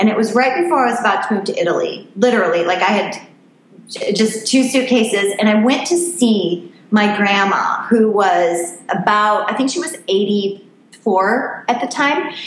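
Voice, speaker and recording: Lively intonation comes through at a fairly slow pace, with audible room echo and noticeable background noise. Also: woman, fairly high pitch for a woman. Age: 40s. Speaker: life coach and photographer. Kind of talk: interview.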